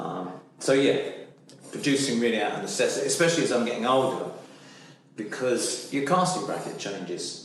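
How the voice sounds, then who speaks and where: A man talks fairly quickly at a medium pitch with lively intonation and long, frequent pauses. Noticeable background noise and audible room echo fill the recording. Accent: English. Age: 60s. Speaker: actor. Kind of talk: interview. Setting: studio. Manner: halting.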